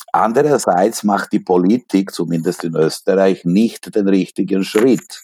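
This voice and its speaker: With a strong non-native accent, a man speaks at a very slow pace in a very deep, low pitch with ordinary pitch variation, the sound dry and close with no echo. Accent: strong foreign accent in German. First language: Serbian (speaking German). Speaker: literature professor. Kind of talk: interview.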